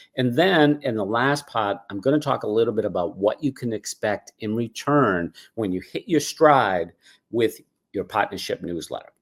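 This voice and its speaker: With a Boston accent and lively intonation, a man speaks at medium pitch in a dry, close sound with no echo. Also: moderate pace. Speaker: cause marketing consultant. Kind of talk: webinar presentation. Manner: casual, filler words.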